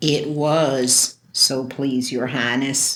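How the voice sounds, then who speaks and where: A man's put-on character voice, medium in pitch and delivered in a flat monotone. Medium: audio drama. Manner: terse, deferential.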